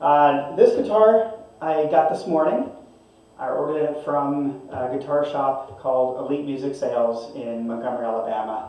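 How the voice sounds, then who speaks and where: A man with a fairly high pitch speaks at a moderate pace with lively intonation, with noticeable background noise and audible room echo. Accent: West Coast. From Northern California. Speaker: guitar reviewer. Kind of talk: product review. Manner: casual, with hesitations. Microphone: webcam mic, bad audio quality.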